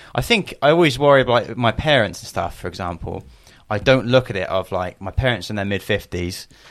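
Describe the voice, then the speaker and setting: A plain, everyday voice from a man at medium pitch, with lively intonation and big swings in loudness, in a very clean recording with a silent background. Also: fairly quick pace. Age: 20s. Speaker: podcast co-host. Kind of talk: casual chat.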